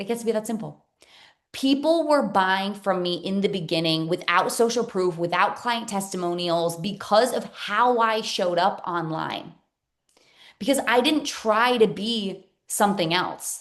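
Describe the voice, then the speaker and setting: The delivery is energetic with lively intonation and a fairly slow pace. The background is quiet. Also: woman, medium pitch for a woman. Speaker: business coach. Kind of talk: webinar masterclass. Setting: Zoom live stream. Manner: loud.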